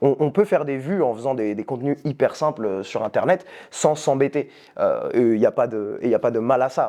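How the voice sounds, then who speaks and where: A man speaks with a dark, mellow tone and a fairly high pitch. His intonation is lively. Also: moderate pace. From France. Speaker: youtuber. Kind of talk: casual chat.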